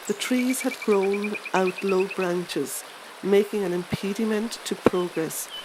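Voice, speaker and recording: Over noticeable background noise, a woman speaks very slowly with fairly even intonation. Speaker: voiceover artist. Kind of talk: audiobook reading.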